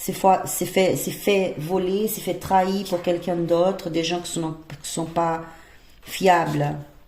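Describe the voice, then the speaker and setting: Speech comes in a non-native accent with monotone, flat intonation at a fairly slow pace. Audible room echo surrounds it. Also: woman. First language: not French (speaking French). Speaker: tarot reader. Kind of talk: tarot reading. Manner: halting, many hesitations.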